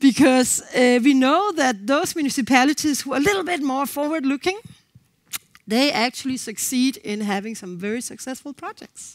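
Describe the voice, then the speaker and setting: A woman's high pitch and lively intonation, in a Danish accent. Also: big swings in loudness. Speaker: co-housing organization representative. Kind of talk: conference presentation. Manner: fast.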